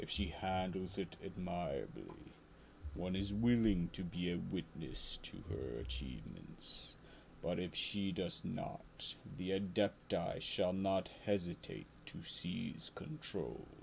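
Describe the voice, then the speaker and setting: Over clear background noise, a man does a put-on character voice with a very deep, low pitch. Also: fairly slow pace. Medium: game stream. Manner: pompous, formal, archaic.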